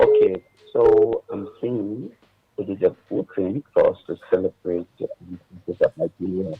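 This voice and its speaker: A quiet man at a moderate pace. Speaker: caller. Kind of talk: radio call-in. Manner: halting. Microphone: too quiet.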